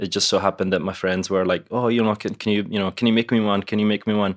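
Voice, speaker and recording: A man's fairly low-pitched, monotone, flat delivery in a very clean recording with a silent background. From Italy. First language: Italian. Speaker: live sound engineer and product maker. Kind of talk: interview. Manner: casual, laughs often, some hesitations.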